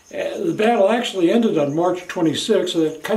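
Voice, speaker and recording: A man with an American accent, ordinary pitch variation, and a moderate pace, amid noticeable background noise and audible room echo. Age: 70s. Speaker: video blogger. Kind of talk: personal monologue. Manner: casual, with hesitations.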